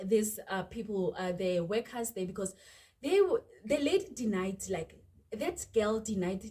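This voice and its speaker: Speaking fairly slowly in a South African accent, a woman has a dark, mellow tone, a medium pitch, ordinary pitch variation and a somewhat breathy quality. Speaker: YouTuber. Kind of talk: storytime vlog. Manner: animated.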